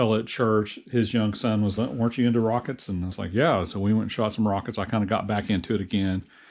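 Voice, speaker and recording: A man with a fairly low pitch, an American accent, fairly even intonation and a fairly quick pace. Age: 60s. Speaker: hobbyist YouTuber, engineer. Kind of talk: casual vlog talk. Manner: halting, many fillers and repeats.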